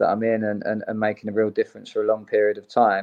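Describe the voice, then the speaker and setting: Very fast speech from a man, fairly low in pitch for a male. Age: 30s. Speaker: football coach and former player. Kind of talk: interview. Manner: halting.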